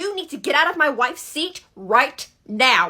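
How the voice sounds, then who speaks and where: Shouting loudly in an angry tone, a woman uses a put-on character voice with a high pitch, very wide pitch swings and a moderate pace. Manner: loud, angry, shouting.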